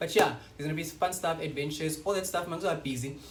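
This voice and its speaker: The voice shows ordinary pitch variation. There is noticeable background noise and audible room echo. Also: man. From South Africa, Western Cape (Paarl). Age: 20s. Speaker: YouTuber. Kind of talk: casual vlog chat. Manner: animated.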